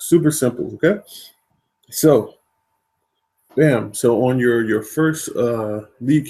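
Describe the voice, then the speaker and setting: Speaking at a medium pitch with ordinary pitch variation, the man sounds somewhat breathy. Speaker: online marketing trainer. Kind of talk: webinar tutorial.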